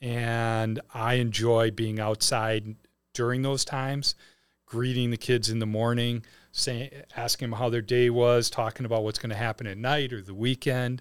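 At a moderate pace, a man with a Wisconsin accent speaks at a medium pitch in a monotone, flat intonation. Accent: Wisconsin accent, noticeable O vowels. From Wisconsin, Milwaukee area. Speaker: head of a private school. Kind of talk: casual interview.

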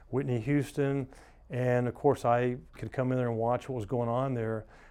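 With an American accent, a man speaks in an unremarkable speaking voice at a medium pitch, keeping a moderate pace and fairly even intonation. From US South, Atlanta. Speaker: realtor. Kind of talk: casual interview.

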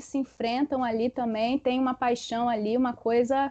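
A woman with a high pitch talks at a moderate pace. The sound is dry and close, with no echo. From Espírito Santo, Brazil. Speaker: history teacher. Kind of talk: casual chat.

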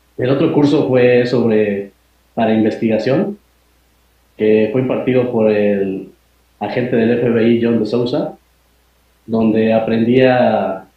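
The voice belongs to a man at a medium pitch. His pitch varies in an ordinary way. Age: 30s. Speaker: UFO researcher and lawyer. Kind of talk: interview.

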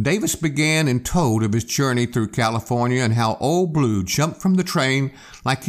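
Lively intonation in an unforced reading voice

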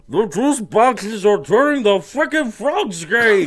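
In a put-on character voice, a man speaks at a high pitch and a fairly slow pace. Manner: impression of a cartoon character.

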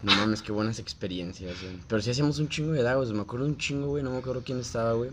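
A man talks very fast with ordinary pitch variation. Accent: Mexican. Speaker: childhood friend of the host. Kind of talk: casual chat.

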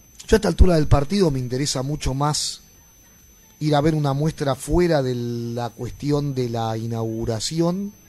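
A man with an unremarkable speaking voice talks at a moderate pace, his fairly high pitch carrying ordinary pitch variation. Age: 50s. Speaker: visual artist. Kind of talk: casual chat.

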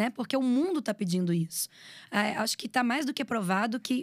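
Her voice is an ordinary speaking voice, as a woman talks at a moderate pace with fairly high pitch and lively intonation, the sound dry and close with no echo. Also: very clean recording, silent background. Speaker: videomaker and communications professional. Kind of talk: casual interview chat.

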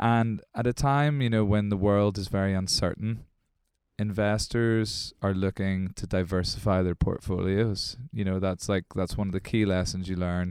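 A man with a normal speaking voice, fairly low in pitch and fairly even in intonation, on a very clean recording with a silent background. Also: moderate pace. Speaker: podcast host. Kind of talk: casual podcast chat about the music industry. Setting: studio. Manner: talkative, conversational, informal.

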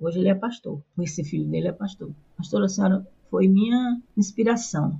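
At a moderate pace, a woman speaks with a northeastern Brazilian accent in a somewhat breathy voice. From Brazilian Northeast. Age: old. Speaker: retired pastor. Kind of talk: interview.

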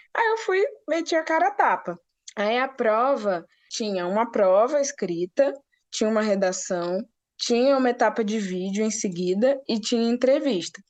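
A woman speaks in a plain, everyday voice at a moderate pace. Her pitch is fairly high, with lively intonation. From Brazil, Rio de Janeiro, grew up moving (Natal, Brasília). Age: 20s. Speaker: business analyst, recent graduate. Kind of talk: casual interview.

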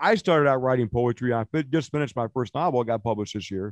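A man talks at a fairly quick pace in a normal speaking voice with a medium pitch. His intonation is lively, and the sound is dry and close with no echo. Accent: American. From Illinois. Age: 40s. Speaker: poet. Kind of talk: casual chat.

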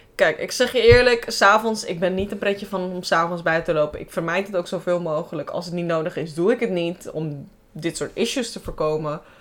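An ordinary speaking voice from a woman, medium in pitch, comes at a fairly quick pace with lively intonation. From Amsterdam Bijlmer, Netherlands. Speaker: podcast host. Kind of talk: casual chat.

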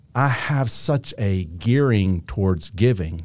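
Here is a man with an American accent and a normal speaking voice. He speaks fairly slowly at a fairly low pitch with lively intonation. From Kentucky, US. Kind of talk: faith-based conversation.

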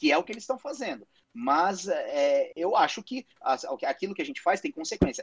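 The pace is fairly quick. The sound is dry and close, with no echo. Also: man. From Brazil. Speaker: podcast co-host, father. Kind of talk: casual chat. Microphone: too quiet.

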